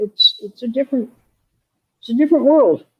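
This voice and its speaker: A somewhat breathy female voice with a dry, close sound and no echo. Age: 80s+. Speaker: bakery founder with vision loss. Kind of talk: interview. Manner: halting.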